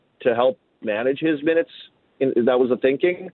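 In a Canadian prairie accent, a man speaks at a medium pitch with fairly even intonation. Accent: Canadian prairies English. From Saskatoon, Canada. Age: 40s. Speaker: former hockey player and analyst. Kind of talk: casual interview.

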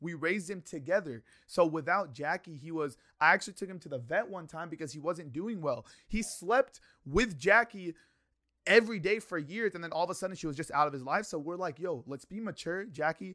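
On a very clean recording with a silent background, a bright, sharp tone moves at a fairly quick pace, with ordinary pitch variation and big swings in loudness. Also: man, high pitch for a man. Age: 20s. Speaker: YouTuber. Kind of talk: casual chat.

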